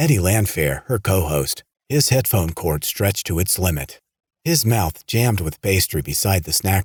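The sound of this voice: An unforced reading voice with lively intonation comes across against a quiet background.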